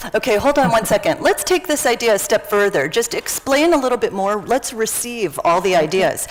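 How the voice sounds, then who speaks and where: Over noticeable background noise, a woman talks at a fairly quick pace with hardly any pauses, her high voice making very wide pitch swings while her loudness stays very even. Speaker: workshop facilitator. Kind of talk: interactive workshop session.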